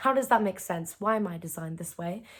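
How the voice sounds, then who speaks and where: Speaking with a British accent, a woman uses an animated tone at a medium pitch. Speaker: YouTuber. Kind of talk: reaction video, casual monologue. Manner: loud.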